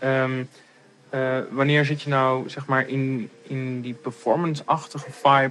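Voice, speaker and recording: This man has an ordinary speaking voice at a medium pitch and speaks at a fairly slow pace. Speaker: artist in residence. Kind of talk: casual interview.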